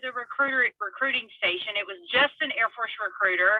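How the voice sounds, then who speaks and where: With an American accent, a woman talks with ordinary pitch variation. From US South, small-town Mississippi. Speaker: Air Force veteran, panelist. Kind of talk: panel discussion. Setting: video call from a parked car.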